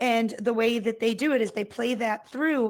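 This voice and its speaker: Here a woman speaks with a Boston accent and a fairly high pitch. The recording is very clean, with a silent background. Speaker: talk show host. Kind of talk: casual talk show chat. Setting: VR talk show with live audience. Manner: many filler words, um and uh.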